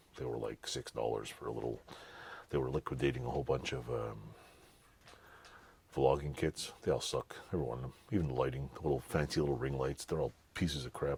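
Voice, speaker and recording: A man with a very deep, low voice and vocal fry speaks at a fairly quick pace. His intonation stays fairly even, broken by long, frequent pauses. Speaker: DIY garage tinkerer and YouTuber. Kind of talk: casual product review. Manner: casual, rambling.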